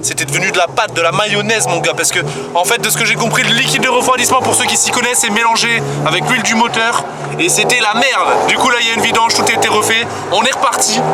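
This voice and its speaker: The delivery is animated and very fast, with ordinary pitch variation, noticeable background noise and audible room echo. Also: man, extremely high pitch for a man. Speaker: vlogger. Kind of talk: casual vlog.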